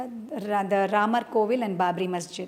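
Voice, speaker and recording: A woman in a Keralan accent. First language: Malayalam. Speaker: dancer and choreographer. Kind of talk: interview. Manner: halting, with many fillers.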